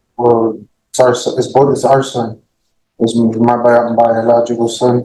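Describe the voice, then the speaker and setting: A man with a dark, mellow tone speaks at a fairly slow pace in a medium pitch, his intonation monotone and flat. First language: Spanish. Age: 20s. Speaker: criminal defendant. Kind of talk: courtroom plea. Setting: courtroom. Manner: halting, repeats words.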